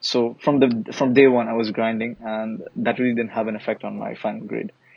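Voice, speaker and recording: Monotone, flat intonation comes from a man with a medium-pitched voice. He talks at a fairly quick pace over noticeable background noise. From Bangladesh. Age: 19. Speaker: student podcast guest. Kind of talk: casual chat.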